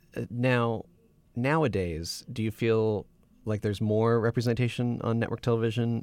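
A man's unremarkable speaking voice, medium in pitch, with fairly even intonation and a moderate pace, on a very clean recording with a silent background. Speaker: student podcast host. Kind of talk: interview.

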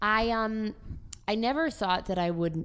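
A woman with an American accent, in a very clean recording with a silent background. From Maryland, US. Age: 20s. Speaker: actor. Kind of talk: casual chat.

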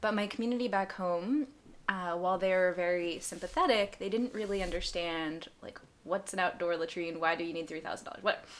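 A woman with an American accent speaks at a fairly quick pace, with a medium pitch and ordinary pitch variation. She has a plain, everyday voice. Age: 20s. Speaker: charity founder, former aid volunteer. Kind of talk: casual interview.

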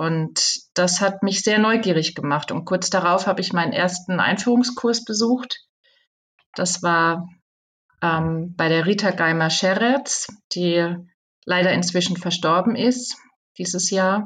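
Pausing long and often, a woman speaks at a very slow pace with a medium pitch and ordinary pitch variation. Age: 50s. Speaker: communication trainer and author. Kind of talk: interview.

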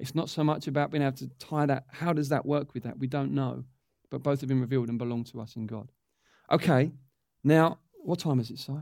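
Speaking with an English accent, a man uses a fairly high pitch, fairly even intonation and a fairly quick pace. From England. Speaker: church teacher. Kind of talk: teaching session.

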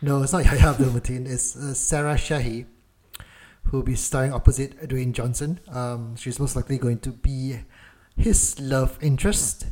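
A dark, mellow tone, somewhat breathy, with fairly even intonation and big swings in loudness. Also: man, medium pitch for a man, moderate pace. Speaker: podcast co-host. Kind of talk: casual chat.

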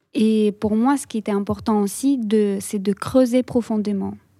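A woman speaks with a Russian accent at a medium pitch, in a dark, mellow tone. The sound is dry and close with no echo, and her intonation is fairly even. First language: Russian (speaking French). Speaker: visual artist. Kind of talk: radio interview. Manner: halting.

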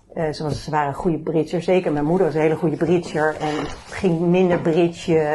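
A woman speaks at a fairly quick pace with a very deep, low pitch. Her intonation is monotone and flat, with noticeable background noise behind her. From Netherlands, Bennebroek near Haarlem. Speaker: family caregiver. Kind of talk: personal testimony in interview. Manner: halting, many fillers.

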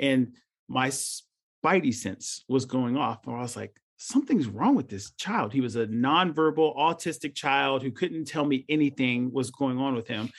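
The recording is very clean with a silent background, and a man speaks in an ordinary speaking voice at a moderate pace. His pitch is medium, with ordinary pitch variation. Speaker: emergency physician. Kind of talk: casual panel discussion.

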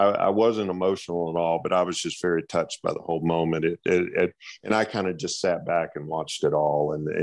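This man has a very deep, low voice. He talks at a fairly quick pace against a quiet background. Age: 60s. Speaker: college track and field coach. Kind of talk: interview.

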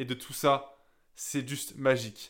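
A man at a very slow pace, bright and sharp in tone, on a very clean recording with a silent background. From southern France, Gap (Hautes-Alpes). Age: 20s. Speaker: young entrepreneur. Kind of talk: personal monologue.

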